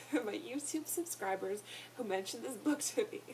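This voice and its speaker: A woman with lively intonation talks at a moderate pace while noticeable background noise plays behind her. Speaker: book reviewer vlogger. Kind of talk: casual vlog book review.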